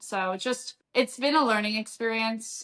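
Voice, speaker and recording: A woman with an American accent speaks loudly at a fairly slow pace. Her tone is bright and sharp, and her intonation fairly even. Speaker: strength and conditioning coach. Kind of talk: podcast interview.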